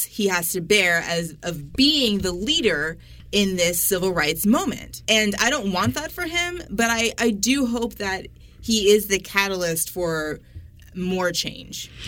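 Against noticeable background noise, a woman speaks at a medium pitch and a fairly slow pace. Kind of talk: casual chat. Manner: opinionated.

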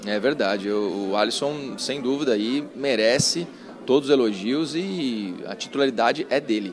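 A man speaks at a moderate pace while noticeable background noise is heard. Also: medium pitch for a man, ordinary pitch variation. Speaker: sports journalist. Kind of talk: casual chat.

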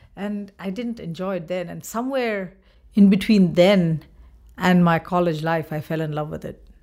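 A woman with a Bengali accent speaks at a fairly low pitch and a moderate pace, with a dark, mellow tone. Her pitch variation is ordinary, while her loudness swings widely. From India, Bengal. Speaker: choreographer and dance professor. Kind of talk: interview.

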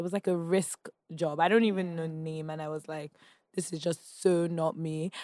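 Speaking in a flat monotone at a moderate pace, a woman with a Nigerian accent and fairly low pitch is recorded dry and close with no echo. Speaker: founder of a women's media community. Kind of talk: casual interview. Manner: laughs often.

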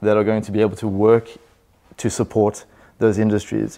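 A man with a fairly low voice speaks at a fairly quick pace in a dark, mellow tone against a quiet background. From South Africa. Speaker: buyer's agent, property business founder. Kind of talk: interview.

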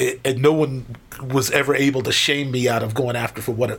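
A man with an American accent speaks at a moderate pace and a medium pitch. His intonation stays fairly even, and background noise is noticeable. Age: 50s. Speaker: professional drummer. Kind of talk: casual interview chat.

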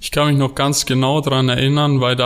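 This man speaks at a medium pitch in a monotone with flat intonation. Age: 20s. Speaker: amateur goalkeeper. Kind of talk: casual interview. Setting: studio.

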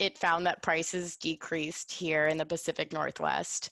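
A woman with an American accent speaks at a fairly slow pace in an unremarkable speaking voice, fairly low in pitch with fairly even intonation, over a quiet background. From US South, New Orleans, Louisiana. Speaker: college alumna discussing her thesis. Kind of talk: interview.

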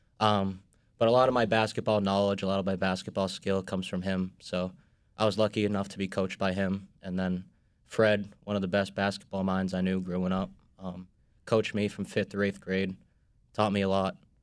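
In an American accent, a man talks fairly quickly at a fairly low pitch with a monotone, flat delivery, on a very clean recording with a silent background. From Boston. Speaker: sports industry worker. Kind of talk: casual chat. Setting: studio.

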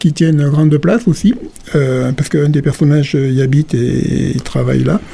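A man's fairly high-pitched voice is heard with noticeable background noise. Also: very even loudness. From southern France, Gard (Calvisson). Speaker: novelist. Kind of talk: radio interview. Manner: hesitant, many fillers.

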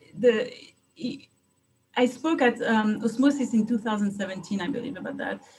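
In a French accent, a woman talks at a moderate pace. Her fairly high voice shows ordinary pitch variation. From France. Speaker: private investigator. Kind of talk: interview. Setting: video call.

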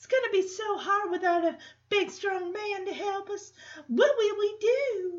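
Putting on a squeaky character voice, a woman speaks at an extremely high pitch and a moderate pace, with ordinary pitch variation and big swings in loudness. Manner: helpless, coy.

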